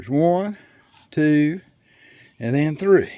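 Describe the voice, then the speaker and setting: The voice carries a Southern US accent. Its intonation is lively. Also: man. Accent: Southern US rural. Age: 60s. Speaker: farmer. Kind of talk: tutorial. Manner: casual, halting.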